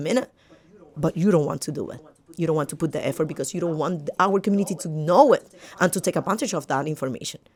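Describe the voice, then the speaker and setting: Speaking at a very fast pace with a strong Puerto Rican accent, a woman has an animated tone, a medium pitch and ordinary pitch variation. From Puerto Rico. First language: Spanish. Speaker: podcast guest. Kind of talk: casual interview. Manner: halting with repetitions.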